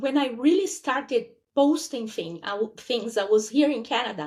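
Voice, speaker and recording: With a Portuguese accent, a woman speaks at a high pitch and with lively intonation. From Brazil. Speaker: podcast guest. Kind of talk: casual chat.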